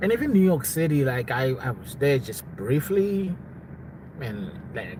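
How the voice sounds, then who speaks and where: A man talks at a moderate pace with lively intonation. Noticeable background noise is present. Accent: South African. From South Africa. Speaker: live streamer. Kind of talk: casual live stream chat. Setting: live stream at home.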